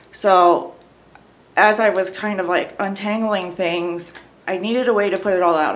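A woman with an unremarkable speaking voice speaks at a fairly low pitch with ordinary pitch variation. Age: 30s. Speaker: abuse survivor sharing her story. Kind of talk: personal testimony in interview.

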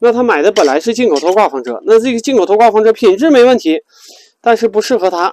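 Speaking at a very fast pace, a man uses lively intonation and a high pitch, and the sound is dry with no echo. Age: 40s. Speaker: RV travel vlogger. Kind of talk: casual vlog monologue. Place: car.

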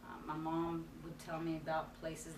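A woman with an American accent, a fairly low pitch and monotone, flat intonation, over noticeable background noise. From North Carolina. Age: 40s. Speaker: ministry student. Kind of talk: personal testimony. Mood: earnest, reflective. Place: classroom.

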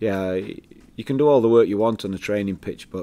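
A man talks with a tone that is dark and mellow. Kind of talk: press conference answers. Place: meeting room.

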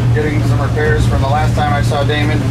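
Clear music can be heard behind this man. He delivers his words at a very fast pace. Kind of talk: phone call explaining a problem. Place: boat.

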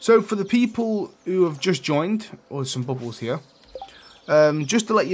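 The speaker is a man. He talks in an East Midlands accent. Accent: British, East Midlands. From England, East Midlands. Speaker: gaming streamer. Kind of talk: live gameplay stream chat. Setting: live stream.

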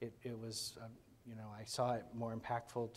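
A man with a Midwestern American accent speaks at a fairly quick pace in a somewhat breathy voice. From Kansas. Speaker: speaker. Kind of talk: onstage interview. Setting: stage with audience. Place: hall. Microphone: lapel.

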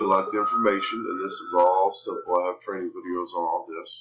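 At a fairly quick pace, a man talks with a low pitch, a fairly bright tone and little pitch movement.

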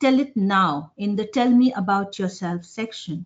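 Quiet surrounds the woman as she talks. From India, Jamshedpur (Jharkhand); Jharkhand, India. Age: 40s. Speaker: business communication professor; professor, webinar presenter. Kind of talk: webinar lecture. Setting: online webinar with screen sharing. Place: office. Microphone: webcam.

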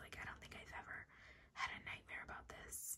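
Someone whispers, soft-spoken, at a moderate pace. Noticeable background noise sits behind the voice. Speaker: ASMR creator. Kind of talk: casual ASMR chat reading a quiz. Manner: soft ASMR whisper reading quiz.

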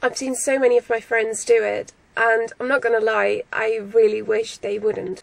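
A woman speaks in a high pitch. The sound is dry, with no echo. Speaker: vlogger. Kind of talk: casual vlog chat. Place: car. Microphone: phone near.

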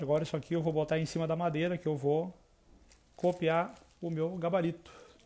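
A man's high-pitched voice at a fairly quick pace. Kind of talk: tutorial. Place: home room. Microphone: earbuds.

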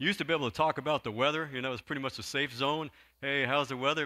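There is a quiet background as a man talks at a very fast pace. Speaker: pastor. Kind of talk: sermon. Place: church. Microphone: handheld.

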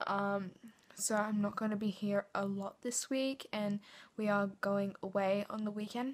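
A woman speaks at a fairly slow pace. Her voice is somewhat breathy, with monotone, flat intonation. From England. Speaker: lifestyle vlogger. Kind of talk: vlog. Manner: chatty, filler-heavy. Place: home room. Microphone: phone near.

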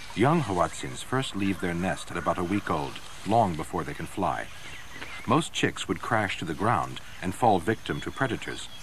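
A man's dramatic tone with lively intonation, over noticeable background noise. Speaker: documentary narrator. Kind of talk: nature documentary narration, scripted voice-over. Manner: dramatic, measured, ominous and gravely authoritative; steady, polished, formal.

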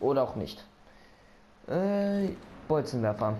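A man speaks in a dark, mellow tone with very wide pitch swings, and audible room echo surrounds his voice. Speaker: gaming video creator. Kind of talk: let's play commentary. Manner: quieter speaking; animated.

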